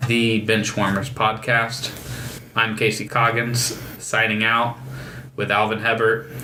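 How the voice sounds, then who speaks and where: A man's medium-pitched, flat monotone at a very slow pace, very even in loudness, with audible room echo and noticeable background noise. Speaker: podcast host. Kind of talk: casual chat. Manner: halting.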